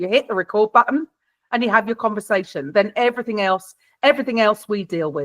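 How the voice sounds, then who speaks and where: A woman in a South London accent speaks very fast, pitched fairly high, with lively intonation. The sound is dry and close, with no echo. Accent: British, South London. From South London, England. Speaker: podcast production expert. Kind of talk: workshop Q&A advice. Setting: video call.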